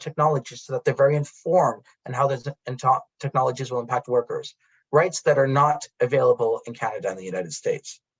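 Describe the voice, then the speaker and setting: A man talks at a very fast pace in a somewhat breathy voice. His pitch is fairly high, with ordinary variation. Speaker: academic researcher. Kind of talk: conference presentation. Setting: conference with interpreter. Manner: halting.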